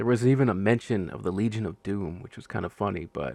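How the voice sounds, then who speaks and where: A man with lively intonation and an ordinary speaking voice. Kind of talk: casual show review to camera. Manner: relaxed, conversational.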